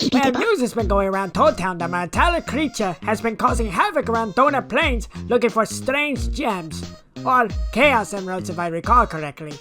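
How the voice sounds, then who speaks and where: A put-on character voice at a middle pitch speaks at a moderate pace over clear background music. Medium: dub.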